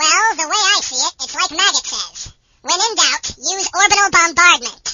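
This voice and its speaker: A woman does a squeaky, put-on character voice at extremely high pitch. Her intonation is lively and her pace moderate. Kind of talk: comic parody acting. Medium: audio drama. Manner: sarcastic, contemptuous.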